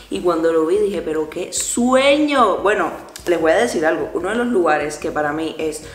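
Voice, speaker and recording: Light background noise and audible room echo accompany a woman with fairly low pitch and ordinary pitch variation. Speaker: travel vlogger. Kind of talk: casual vlog. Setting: at home, then bus stop outdoors. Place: home room. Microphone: phone near.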